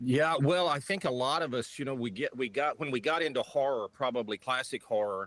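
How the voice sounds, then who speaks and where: A man talks in an unremarkable speaking voice at a medium pitch with ordinary pitch variation. His pace is fairly quick, with hardly any pauses. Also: dry, close sound with no echo. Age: 50s. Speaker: author and film scholar. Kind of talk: interview.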